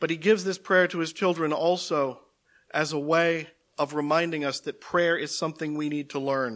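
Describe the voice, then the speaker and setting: A man with an ordinary speaking voice talks at a moderate pace and fairly high pitch with fairly even intonation. The recording is very clean with a silent background. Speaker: preacher. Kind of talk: sermon ending in a prayer. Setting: church. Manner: fervent, earnest prayer tone; formal, measured.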